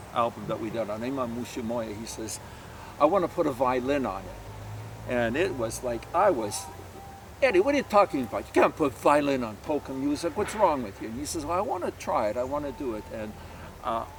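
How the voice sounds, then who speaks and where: Over music in the background, a man talks at a fairly quick pace with a medium pitch and lively intonation. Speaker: polka bandleader. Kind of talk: casual interview.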